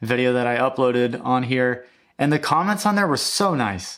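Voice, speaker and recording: This man's voice sits at a medium pitch as he talks at a moderate pace. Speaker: music YouTuber. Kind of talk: casual vlog monologue. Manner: mumbling; halting, many fillers and restarts.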